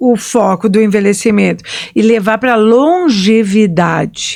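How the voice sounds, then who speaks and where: A woman in a plain, everyday voice speaks at a fairly high pitch with ordinary pitch variation. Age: 60s. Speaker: historian and podcast host. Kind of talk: casual chat.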